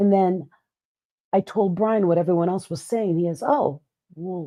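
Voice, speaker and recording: An ordinary speaking voice comes through at a moderate pace with ordinary pitch variation. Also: woman, medium pitch for a woman. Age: 50s. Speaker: podcast co-host, keynote speaker. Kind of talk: casual chat.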